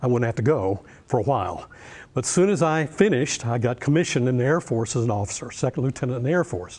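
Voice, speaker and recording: Speaking very fast with a North Carolina accent, a man with a medium-pitched, somewhat breathy voice uses lively intonation. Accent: Southern US (North Carolina). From US South, Western North Carolina. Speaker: professor. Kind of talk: lecture.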